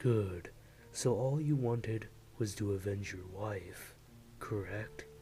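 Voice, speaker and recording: Doing a put-on character voice, a man speaks fairly slowly and fairly low, with long, frequent pauses and clear background noise behind him. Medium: read story. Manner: smooth, patronizing.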